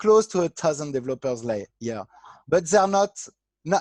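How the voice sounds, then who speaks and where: A man's fairly high voice in a French accent, dry and close with no echo, over a quiet background. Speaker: artistic director of an online board game platform. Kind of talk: interview. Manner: halting.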